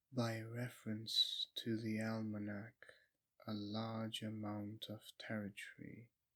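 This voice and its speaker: Soft-spoken and very slow, a man talks in a monotone, flat intonation with a bright, sharp tone and a medium pitch. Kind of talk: audiobook reading. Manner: slow, soft-spoken.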